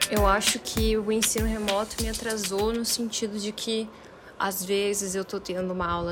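Medium in pitch, this woman's voice is monotone and flat. She speaks at a fairly slow pace. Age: 20s. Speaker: university student. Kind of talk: interview testimony.

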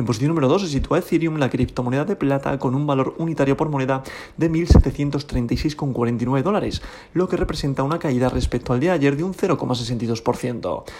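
A man with a Spanish accent, fairly high pitch, ordinary pitch variation, a moderate pace, and noticeable background noise. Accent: Peninsular Spanish. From Spain. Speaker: crypto podcast host. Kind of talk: daily market report.

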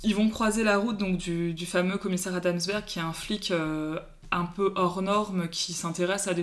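The speech comes at a moderate pace. Its intonation is monotone and flat. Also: woman. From Paris, France. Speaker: book Instagram account holder. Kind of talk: casual chat.

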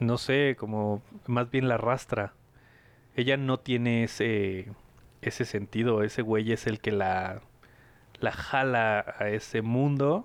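Speaking very slowly with a Mexican accent, a man keeps a medium pitch, fairly even intonation and very even loudness, leaving long, frequent pauses. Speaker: podcast host. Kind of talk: casual chat.

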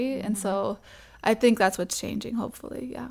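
A woman's ordinary speaking voice with an American accent, medium pitch, ordinary pitch variation and a fairly quick pace, on a very clean recording with a silent background. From Massachusetts, US. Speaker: DJ and music producer. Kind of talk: casual chat. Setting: in person, Brooklyn.

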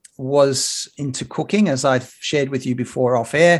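Against a quiet background, a man with an Australian accent speaks at a fairly high pitch. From Sydney, Australia (lower north shore). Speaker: broadcaster and journalist. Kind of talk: casual interview.

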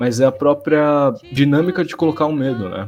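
Music plays in the background as a man talks. His pace is moderate, with ordinary pitch variation. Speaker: internet content creator. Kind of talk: casual chat. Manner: halting.

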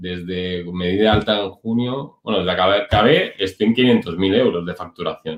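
This man has a normal speaking voice with fairly low pitch. He keeps a moderate pace. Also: ordinary pitch variation. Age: 30s. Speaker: online business entrepreneur, former dental clinic director. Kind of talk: interview.

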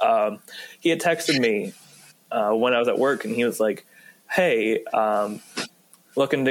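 With an American accent, a man talks at a moderate pace in a medium pitch. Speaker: student podcast host. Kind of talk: casual chat.

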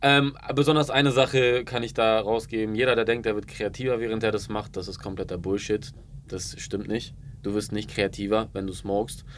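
A man with an ordinary speaking voice talks at a moderate pace, medium in pitch, his intonation fairly even. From Ulm, Baden-Württemberg (Swabia). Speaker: marketing entrepreneur and video creator. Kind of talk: casual interview chat.

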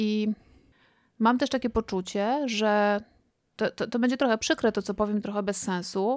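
In a very clean recording with a silent background, a woman with an unremarkable speaking voice and fairly high pitch sounds dry and close, with no echo. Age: 40s. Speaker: podcast co-host and doctoral student. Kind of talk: casual chat.

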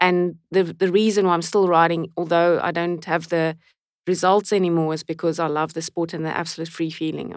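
A woman's fairly low voice, fairly quick and flat, monotone in intonation. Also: very clean recording, silent background. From South Africa, Port Elizabeth. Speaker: professional cyclist. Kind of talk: casual interview chat.

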